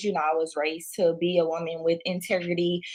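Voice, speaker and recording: This woman has a Louisiana accent and a fairly low pitch. She talks at a moderate pace. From Louisiana, moved to Houston, Texas at six. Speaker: entrepreneur, clothing brand owner. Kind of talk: interview.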